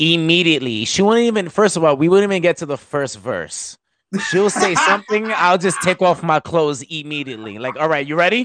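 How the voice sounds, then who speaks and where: The speaker has a New York accent, a fairly quick pace and lively intonation. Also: man, high pitch for a man. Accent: New York (Bronx). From New York, the Bronx. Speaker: hip hop artist. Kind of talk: casual chat. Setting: video call. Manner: animated.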